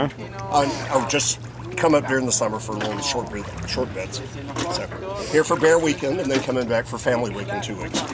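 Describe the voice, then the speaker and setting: A man's medium-pitched voice at a moderate pace, with ordinary pitch variation and music in the background. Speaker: street interviewee.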